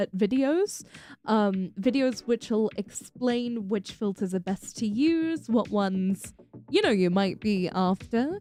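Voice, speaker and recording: A dark, mellow voice with a British accent moves slowly with lively intonation and very even loudness. The sound is dry and close with no echo. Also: woman. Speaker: VTuber streamer. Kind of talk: casual Q&A livestream.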